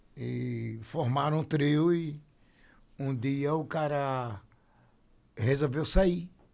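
Very slow and marked by long, frequent pauses, a man's fairly high voice keeps fairly even intonation. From Sergipe, Aracaju. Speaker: brega singer and songwriter. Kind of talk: casual chat. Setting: studio.

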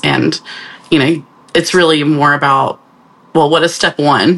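A woman speaks with a very deep, low pitch. Noticeable background noise sits behind her. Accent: American. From US South, northeast Georgia. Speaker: graphic designer and art director. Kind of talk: casual chat.

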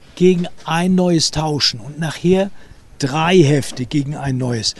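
Ordinary pitch variation marks this fairly slow delivery. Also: man. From Hamburg, St. Pauli. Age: 70s. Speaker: author and local history guide. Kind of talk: guided walking tour, storytelling to children. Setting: outdoors, walking through city streets.

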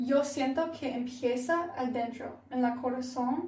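In an English accent, a woman speaks at a very slow pace with a high pitch, amid audible room echo and noticeable background noise. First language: English (speaking Spanish). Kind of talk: casual devotional chat.

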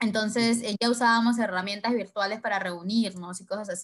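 A woman speaks at a fairly high pitch. Her voice is somewhat breathy, with fairly even intonation. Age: 20s. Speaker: entrepreneur. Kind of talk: interview.

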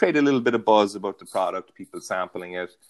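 In a Cork accent, a man talks very fast with a fairly low pitch and ordinary pitch variation. The sound is dry and close, with no echo. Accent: Cork Irish. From County Cork, Ireland. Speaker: guest, business professional. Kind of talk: casual interview. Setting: podcast interview.

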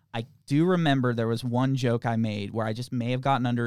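The sound is dry and close, with no echo, as a man speaks fairly quickly in an unremarkable speaking voice. His pitch sits at a medium level. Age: 20s. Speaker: podcast co-host. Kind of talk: casual chat. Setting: studio.

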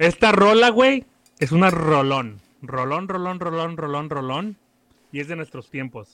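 This man has an ordinary speaking voice with a fairly high pitch, lively intonation and big swings in loudness. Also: fairly slow pace. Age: 20s. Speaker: podcaster, guest. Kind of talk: casual chat.

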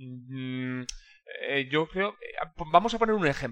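The intonation of this man is lively. He talks at a fairly slow pace. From Basque Country, Spain (Irún). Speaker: logistics consultant. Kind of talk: interview.

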